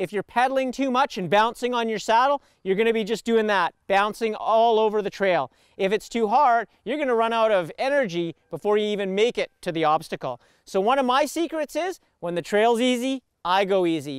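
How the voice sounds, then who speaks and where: Speaking at a fairly quick pace with lively intonation, a man comes across in a dry sound with no echo. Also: quiet background. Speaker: mountain bike instructor. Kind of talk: tutorial. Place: forest.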